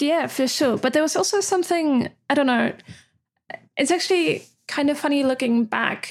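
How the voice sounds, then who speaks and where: With long, frequent pauses, a woman speaks at a moderate pace in a high voice, keeping her loudness very even and her pitch variation ordinary. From Austria. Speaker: goldsmith and nib specialist. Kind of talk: casual interview chat. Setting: video call.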